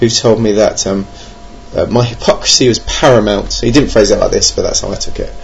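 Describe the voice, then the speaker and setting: A man with a British accent talks at a fairly quick pace over noticeable background noise. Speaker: podcast host, board game reviewer. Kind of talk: casual solo podcast monologue. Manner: hesitant, many fillers; dry, jokey humour.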